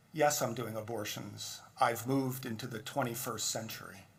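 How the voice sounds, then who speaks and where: A somewhat breathy man's voice at a moderate pace, with audible room echo. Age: 60s. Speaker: physician and guest speaker. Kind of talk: speech at benefit dinner. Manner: informal, conversational.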